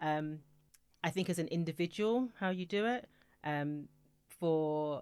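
With a British accent, a woman speaks at a fairly slow pace in a very deep, low pitch, captured in a very clean recording with a silent background. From UK. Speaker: music industry executive. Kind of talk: interview. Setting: studio.

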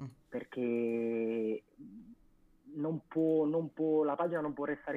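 This man uses an ordinary speaking voice that sits fairly high, and his pitch rises and falls in an ordinary way. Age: 20s. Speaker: music page co-founder. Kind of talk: casual interview on live stream.

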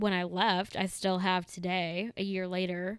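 Spoken at a moderate pace with an American accent, the clip is very clean, with a silent background. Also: woman. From Chicago suburbs, Illinois. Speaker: podcast co-host. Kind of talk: casual chat.

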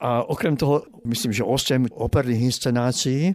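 An unremarkable speaking voice from a man of medium pitch, with fairly even intonation, on a very clean recording with a silent background. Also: dry, close sound with no echo. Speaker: opera critic. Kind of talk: interview.

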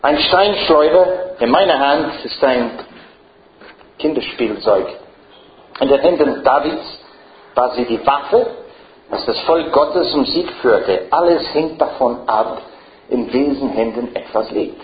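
A man with an English accent and fairly high pitch, at a very slow pace with long, frequent pauses, ordinary pitch variation, audible room echo and noticeable background noise. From Ireland. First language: English (speaking German). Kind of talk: lecture.

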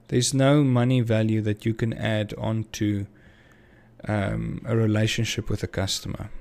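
This man's pitch sits at a medium level, and his intonation stays fairly even. He speaks at a fairly slow pace. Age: 30s. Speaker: small business owner. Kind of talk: casual monologue podcast. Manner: hesitant, many fillers.

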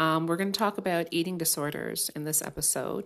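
In a very clean recording with a silent background, a woman with an unremarkable speaking voice and a fairly low pitch talks at a moderate pace with ordinary pitch variation. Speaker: podcast host and life coach. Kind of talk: solo podcast monologue on mental health. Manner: casual, friendly, conversational.

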